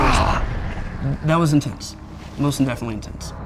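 With an American accent, a man speaks at a moderate pace against noticeable background noise. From US Midwest. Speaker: guest recounting a paranormal experience. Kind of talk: personal testimony.

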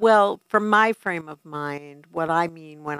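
A woman speaks with a New York accent at a fairly slow pace. The sound is dry and close, with no echo. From New York City. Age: 60s. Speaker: family addiction consultant. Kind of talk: interview. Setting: studio.

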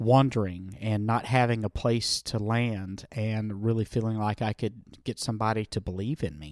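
A dry, close sound with no echo, a fairly even intonation and a Southern US accent, on a very clean recording with a silent background. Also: man. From US South. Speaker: nonprofit founder working with homeless youth. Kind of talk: interview.

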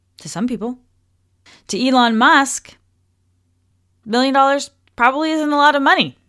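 With a high pitch and an animated tone, a woman speaks at a moderate pace with ordinary pitch variation and long, frequent pauses, on a very clean recording with a silent background. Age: 30s. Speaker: podcast host, wellness coach. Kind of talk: casual solo podcast talk.

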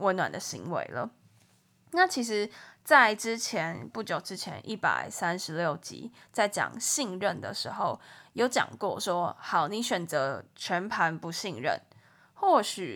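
Very slowly, a woman speaks with lively intonation, vocal fry, and big swings in loudness. The recording is very clean, with a silent background. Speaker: podcast host, relationship advice. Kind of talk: casual monologue.

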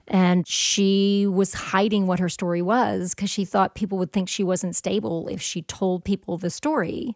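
A woman with a Southern US accent talks at a medium pitch with ordinary pitch variation and hardly any pauses. The sound is dry and close, with no echo. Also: moderate pace. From US South. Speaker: professional storyteller. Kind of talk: casual chat; storytelling performance.

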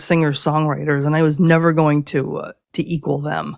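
Her pitch very deep and low, a woman talks at a moderate pace in a monotone, flat intonation. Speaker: singer songwriter. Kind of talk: casual interview. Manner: halting, with fillers.

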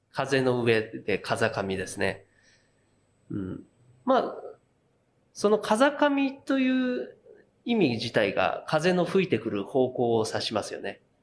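A man talks at a very slow pace with long, frequent pauses, recorded very cleanly against a silent background. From Japan, Yokohama. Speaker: craft beer brewer. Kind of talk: interview. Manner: relaxed, with many fillers.

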